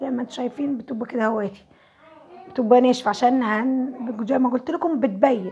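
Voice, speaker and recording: Over noticeable background noise, a woman speaks fairly quickly at a high pitch with fairly even intonation. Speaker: home cooking vlogger. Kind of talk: cooking tutorial.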